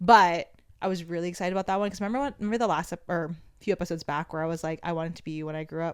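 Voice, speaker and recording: The pace is very fast. The recording is very clean, with a silent background. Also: woman, fairly low pitch for a woman, ordinary pitch variation. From Guam. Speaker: podcast co-host. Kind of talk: casual chat.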